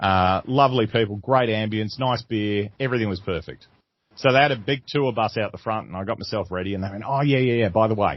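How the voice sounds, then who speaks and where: With an Australian accent, a man speaks at a very fast pace. His pitch is fairly low, with ordinary pitch variation. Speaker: comedian. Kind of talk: interview. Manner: animated.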